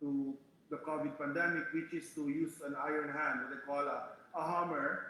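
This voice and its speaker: A man speaks at a moderate pace in a fairly high pitch, his intonation monotone and flat. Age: 60s. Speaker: human rights activist. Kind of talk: panel discussion. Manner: halting.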